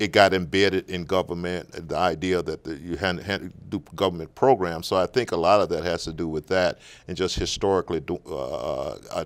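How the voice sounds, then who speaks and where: Spoken in a Southern US accent at a fairly quick pace, the fairly even intonation comes through on a very clean recording with a silent background. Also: man, very deep, low pitch for a man. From Natchez, Mississippi. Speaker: political candidate. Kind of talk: interview answer.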